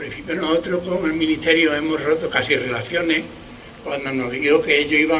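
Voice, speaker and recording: A man talks fairly quickly at a fairly high pitch, his intonation fairly even. Noticeable background noise and audible room echo fill the recording. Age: 70s. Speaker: historical memory activist. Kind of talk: public speech at memorial event. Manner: halting, with repetitions.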